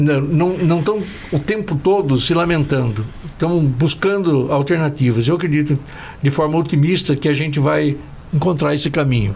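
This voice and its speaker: Noticeable background noise sits behind a voice at a moderate pace. The loudness stays very even, and the pitch varies in an ordinary way. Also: man, fairly high pitch for a man. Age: 70s. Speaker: industry union relations executive. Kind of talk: podcast panel discussion, closing remarks. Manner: halting, many repetitions and fillers.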